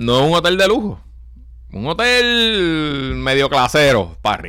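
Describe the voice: A man's bright, sharp tone with big pitch swings.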